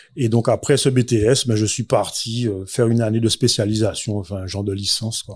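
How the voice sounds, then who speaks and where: Somewhat breathy, a man with a medium pitch speaks at a fairly quick pace with hardly any pauses and fairly even intonation. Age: 40s. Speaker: entrepreneur, restaurant owner. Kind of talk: interview. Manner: hesitant, many fillers.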